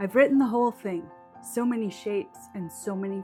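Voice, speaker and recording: Behind the voice, music is playing. The delivery has lively intonation. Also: woman. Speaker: memoir writer. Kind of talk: personal memoir talk to camera. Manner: nervous, hesitant.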